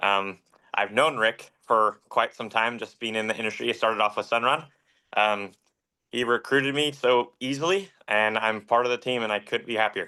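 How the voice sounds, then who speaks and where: In an American accent, a man talks at a moderate pace and medium pitch. It is a normal speaking voice with ordinary pitch variation. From Central Coast, California. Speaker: solar salesperson. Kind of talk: self-introduction.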